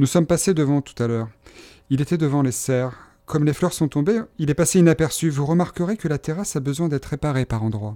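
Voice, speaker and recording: A man talks at a very fast pace in a dark, mellow tone. The recording is very clean, with a silent background. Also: fairly high pitch for a man, ordinary pitch variation. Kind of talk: literary audiobook reading, dialogue acted out as a guide showing gardens. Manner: clear, measured, courteous guide-like delivery, formal and polite.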